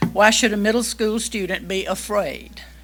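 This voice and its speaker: Noticeable background noise fills the recording. Over it, a woman talks at a fairly slow pace. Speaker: public commenter, retired teacher. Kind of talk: public comment at board meeting. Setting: public meeting room.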